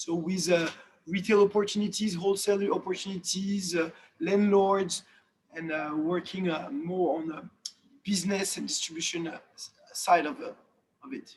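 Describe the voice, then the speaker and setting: A man's high voice in a French accent, moderate in pace, with ordinary pitch variation and big swings in loudness. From France. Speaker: watch industry executive. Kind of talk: webinar interview. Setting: video call. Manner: halting, many fillers.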